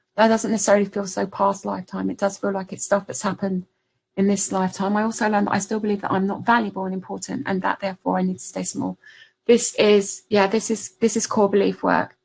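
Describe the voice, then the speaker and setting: A woman with a medium pitch and vocal fry talks at a very fast pace in a monotone, flat intonation over a quiet background. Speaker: spiritual business coach. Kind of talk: webinar masterclass. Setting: online webinar screen share.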